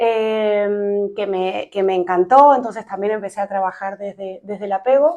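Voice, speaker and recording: A dark, mellow tone comes through. The background is quiet. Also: woman, medium pitch for a woman, ordinary pitch variation, fairly slow pace, hardly any pauses. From Argentina. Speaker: psychologist, podcast co-host. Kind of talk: casual chat.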